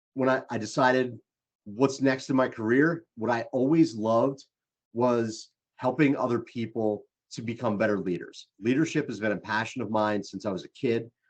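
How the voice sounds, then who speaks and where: A man with a Philadelphia accent, medium pitch, fairly even intonation and moderate pace, against a quiet background. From Philadelphia, US. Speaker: leadership coach. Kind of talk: presentation to a group.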